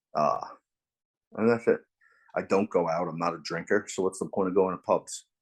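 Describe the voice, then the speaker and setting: A man talks with a very deep, low pitch and fairly even intonation. The background is quiet. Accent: New York. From New York, Long Island. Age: 40s. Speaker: bare knuckle fighter. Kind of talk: interview.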